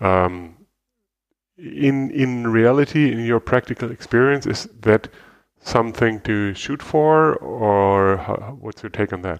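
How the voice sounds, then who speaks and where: With a German accent, the speaker talks at a very slow pace using lively intonation. The background is quiet. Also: man, medium pitch for a man. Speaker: podcast host and interviewer. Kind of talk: interview; casual chat.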